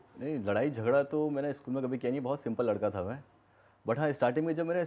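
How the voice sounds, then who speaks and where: His is a dark, mellow tone at a medium pitch, with ordinary pitch variation. The man speaks at a moderate pace. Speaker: gaming YouTuber. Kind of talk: podcast interview.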